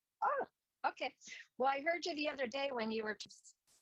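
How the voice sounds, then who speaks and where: The talk is quick-ish in pace, with ordinary pitch variation, from an unremarkable speaking voice. No echo colors the sound, which is dry and close. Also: woman. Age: 60s. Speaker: artist. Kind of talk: video call Q&A. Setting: video call. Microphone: unstable connection, audio only.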